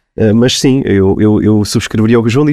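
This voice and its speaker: Dark and mellow in tone, a man talks fairly quickly in a dry, close sound with no echo. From central Portugal (Abrantes). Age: 30s. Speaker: police officer. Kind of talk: interview conversation. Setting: studio. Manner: halting, many repetitions.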